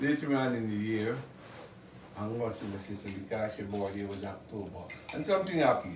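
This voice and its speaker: With noticeable background noise and audible room echo, a man talks at a fairly quick pace in a fairly low pitch, with ordinary pitch variation and long, frequent pauses. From Guyana. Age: 70s. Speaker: music producer and songwriter. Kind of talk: casual interview.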